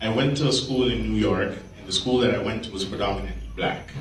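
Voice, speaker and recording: Someone with a Jamaican accent talks at a moderate pace. Noticeable background noise and audible room echo fill the recording. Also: man. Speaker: comedian. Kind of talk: stand-up.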